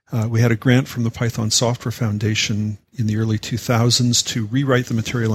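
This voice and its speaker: A man with a Canadian accent talks at a fairly quick pace with hardly any pauses, his medium-pitched voice somewhat breathy and his intonation monotone and flat. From Canada. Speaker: software educator, founder of a teaching organization. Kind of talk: podcast interview.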